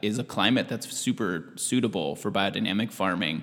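Speaking at a moderate pace, a man with an American accent uses a plain, everyday voice, fairly low in pitch with ordinary variation. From US Pacific Northwest, Washington State. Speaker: farm manager. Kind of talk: interview.

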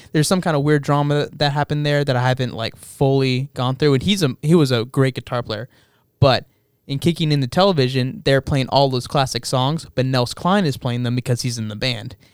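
A man speaks with an American accent at a fairly quick pace. His pitch is medium, with ordinary variation. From El Paso, West Texas. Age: 20s. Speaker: musician. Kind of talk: casual chat. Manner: halting.

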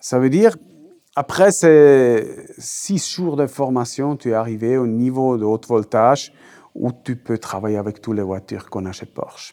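A man with a Swiss German accent speaks at a fairly slow pace in a medium pitch, his dark, mellow tone carrying lively intonation. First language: Swiss German (speaking French). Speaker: technical trainer. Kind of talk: interview. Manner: halting.

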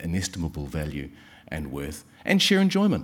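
With a New Zealand accent, a man speaks at a very deep, low pitch. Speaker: session chair. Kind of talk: formal introduction and thanks speech. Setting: stage with audience.

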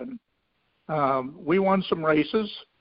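Speaking at a very slow pace, a man with a Midwestern American accent talks at a fairly high pitch. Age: 70s. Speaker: racehorse owner, retired businessman. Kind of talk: interview.

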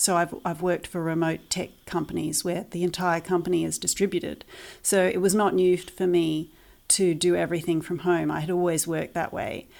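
In a New Zealand accent, a woman speaks with monotone, flat intonation. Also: fairly low pitch for a woman, fairly quick pace, very clean recording, silent background. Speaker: parent of online school pupils. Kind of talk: interview.

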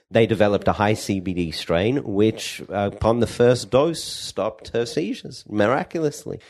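A man with an Australian accent, medium pitch and lively intonation, at a moderate pace with hardly any pauses, over a quiet background. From Perth, Western Australia. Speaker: pharmacist and cannabis entrepreneur. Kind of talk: podcast interview. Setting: co-working space. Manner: animated.

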